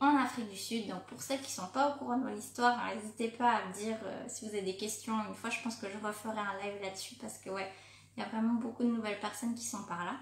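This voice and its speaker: A woman's fairly high voice at a fairly quick pace, with ordinary pitch variation and audible room echo. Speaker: life coach for women entrepreneurs. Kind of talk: live stream talk to followers. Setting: live video on social media. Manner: fast; casual, hesitant with fillers.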